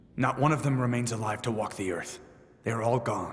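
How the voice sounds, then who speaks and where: Growling in a put-on character voice, a man at a medium pitch speaks at a fairly quick pace with a clear echo. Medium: fan dub. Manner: terse, commanding.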